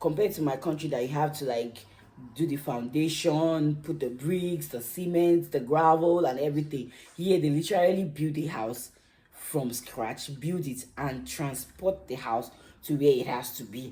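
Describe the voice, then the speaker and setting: A woman with a strong Nigerian accent, a very deep, low pitch, ordinary pitch variation, a moderate pace, and a dark, mellow tone, plus audible room echo. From Nigeria (Lagos). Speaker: YouTuber. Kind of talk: casual vlog monologue. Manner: animated.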